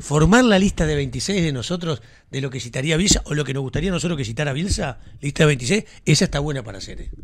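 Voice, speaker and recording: Speaking very fast with a Uruguayan accent, a man uses lively intonation and a fairly high pitch, and his voice is somewhat breathy. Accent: Rioplatense Spanish (Uruguayan). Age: 50s. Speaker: sports radio host. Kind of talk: casual sports talk. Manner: animated. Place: studio. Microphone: studio mic.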